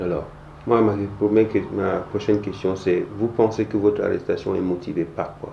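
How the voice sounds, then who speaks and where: A man with fairly low pitch and fairly even intonation talks at a moderate pace, noticeable background noise present throughout. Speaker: interviewer. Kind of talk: interview question.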